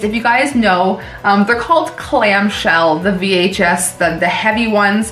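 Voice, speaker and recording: Over background music and audible room echo, a woman speaks at a medium pitch and moderate pace with ordinary pitch variation. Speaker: horror movie YouTuber. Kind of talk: casual movie review. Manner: casual, many fillers.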